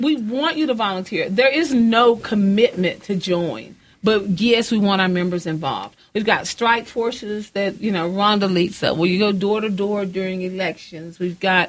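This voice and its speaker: With a West Texas accent, a woman speaks at a moderate pace, her medium pitch showing ordinary variation. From West Texas (Odessa/Midland). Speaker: president of a local political women's club. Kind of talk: casual interview.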